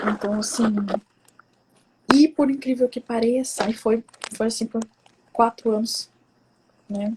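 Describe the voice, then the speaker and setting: A soft-spoken woman talks at a fairly high pitch with fairly even intonation, the sound dry and close with no echo. Her pace is fairly slow, with long, frequent pauses. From Brazil, São Paulo. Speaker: psychoanalyst and women's coach, speaker. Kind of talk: personal testimony talk. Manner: soft-spoken, speaks quietly.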